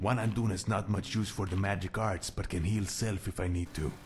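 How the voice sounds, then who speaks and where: A man puts on a character voice, fairly low in pitch, at a moderate pace. Clear background noise can be heard. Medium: machinima. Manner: speaks of himself in third person.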